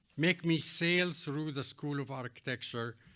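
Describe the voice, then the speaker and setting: On a very clean recording with a silent background, a man speaks with an Arabic accent. His tone is bright and sharp, his pitch fairly high with ordinary variation. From Egypt. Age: 80s+. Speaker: architect, award honoree. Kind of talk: award acceptance speech.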